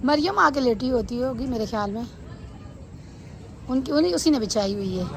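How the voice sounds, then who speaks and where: Over audible room echo, a woman speaks loudly at a high pitch with lively intonation. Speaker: family vlogger. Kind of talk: casual vlog chat. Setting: outdoors on rooftop.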